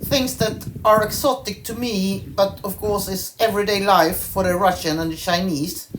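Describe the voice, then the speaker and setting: A woman with a Swedish accent talks at a fairly slow pace, her intonation lively. Noticeable background noise sits behind her. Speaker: horse owner vlogger. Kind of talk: scripted narration.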